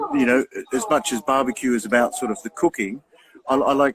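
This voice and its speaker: With very wide pitch swings, the speaker talks in an Australian accent, with a dry, close sound and no echo. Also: man. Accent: thick Australian. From regional Australia, Albury. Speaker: barbecue show host. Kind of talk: casual interview chat.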